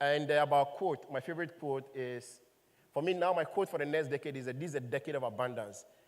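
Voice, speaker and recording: With a fairly high pitch and ordinary pitch variation, a man talks at a fairly quick pace. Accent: Ghanaian. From Ghana, Volta region. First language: Ewe. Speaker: startup founder and CEO. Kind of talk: panel conversation.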